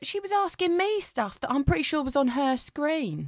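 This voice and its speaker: An animated woman's voice with very wide pitch swings, dry and close with no echo. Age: 30s. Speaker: comedian. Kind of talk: casual chat.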